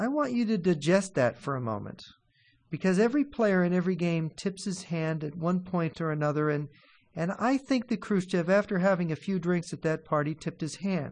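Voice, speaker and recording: A high-voiced man talks fairly quickly, his intonation lively. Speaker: radio host and columnist. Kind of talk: radio interview.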